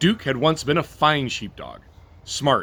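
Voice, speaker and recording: A man's bright, sharp tone with vocal fry. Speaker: storyteller. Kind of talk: bedtime story read-aloud.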